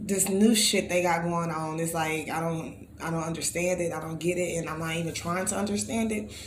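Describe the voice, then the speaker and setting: With an American accent, a woman speaks at a moderate pace and fairly even intonation. The recording has audible room echo and noticeable background noise. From Texas, Bryan. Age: 30s. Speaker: talk show host. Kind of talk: casual monologue.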